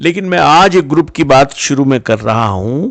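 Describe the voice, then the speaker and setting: A man talks in a plain, everyday voice at a medium pitch with lively intonation. The background is quiet. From western Uttar Pradesh, India (Najibabad, Bijnor). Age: 60s. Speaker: storyteller, business owner. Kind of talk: personal storytelling.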